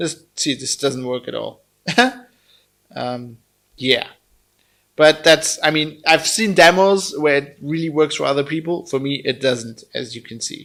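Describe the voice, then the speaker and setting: At a fairly slow pace with long, frequent pauses, a man with a German accent speaks at a fairly high pitch with ordinary pitch variation. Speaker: tech reviewer. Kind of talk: product review. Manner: casual, animated.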